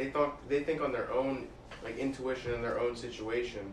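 Someone with an American accent speaks at a moderate pace, with audible room echo and noticeable background noise. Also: man. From Bethlehem, Pennsylvania. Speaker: college student. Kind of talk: casual chat.

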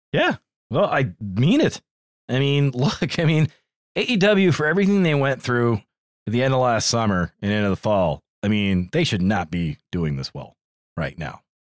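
At a moderate pace, a man talks with very wide pitch swings. The recording is very clean with a silent background, and the sound is dry and close with no echo. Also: medium pitch for a man. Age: 30s. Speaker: podcast co-host. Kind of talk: casual chat.

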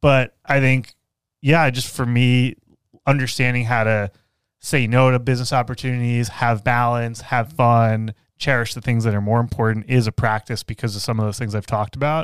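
On a very clean recording with a silent background, an ordinary speaking voice keeps a moderate pace and fairly even intonation. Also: man, medium pitch for a man. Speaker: business coach and podcast host. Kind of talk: casual interview conversation; show outro. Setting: studio.

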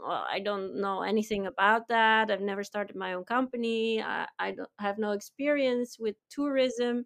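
A woman's fairly high voice with ordinary pitch variation, an ordinary speaking voice. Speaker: tour company founder. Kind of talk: casual interview conversation.

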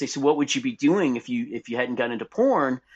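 Against a quiet background, a man with an American accent uses a normal speaking voice, fairly high in pitch with lively intonation. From Texas, Dallas. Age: 50s. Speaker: adult website owner and podcast host. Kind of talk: interview conversation.

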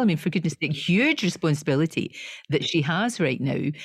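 A woman's fairly low, somewhat breathy voice at a fairly quick pace. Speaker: podcast co-host. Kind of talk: casual interview chat.

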